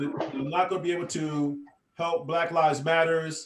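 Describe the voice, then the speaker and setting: A man with an American accent, at a fairly slow pace and with fairly even intonation. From United States. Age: 60s. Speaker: professor. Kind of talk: lecture. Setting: video call. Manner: halting.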